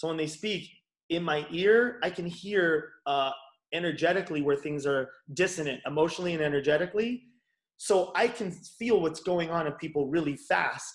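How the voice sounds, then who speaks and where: A man with an American accent speaks at a high pitch and moderate pace, with ordinary pitch variation, in a very clean recording with a silent background. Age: 40s. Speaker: chiropractor and bodyworker. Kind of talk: casual interview chat.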